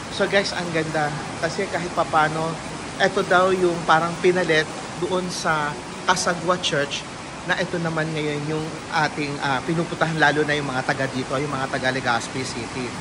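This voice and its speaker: A man talks at a moderate pace, fairly high in pitch. His intonation stays fairly even, with noticeable background noise behind him. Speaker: travel vlogger. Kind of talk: travel vlog narration. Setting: outdoors in heavy rain. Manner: lowered voice inside church.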